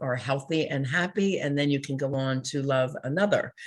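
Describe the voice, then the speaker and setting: Music is audible behind the speaker. She is a woman with a very deep, low pitch. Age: 60s. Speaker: life and relationship coach, counselor. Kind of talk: interview conversation.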